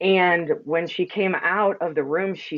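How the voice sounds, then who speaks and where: A woman's loud, resonant voice holds a fairly even intonation. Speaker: energy healer and sound practitioner. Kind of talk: casual chat interview.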